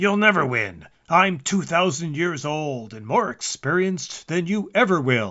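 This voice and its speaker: A man growls in a put-on character voice, pitched high for a man. His intonation is lively and his pace fairly slow. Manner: snarling, aggressive.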